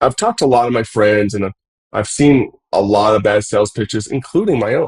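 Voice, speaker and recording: Here a man with an American accent speaks at a fairly quick pace and medium pitch. His voice is somewhat breathy, and the sound is dry and close with no echo. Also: ordinary pitch variation. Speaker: podcast host and business owner. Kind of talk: casual podcast monologue.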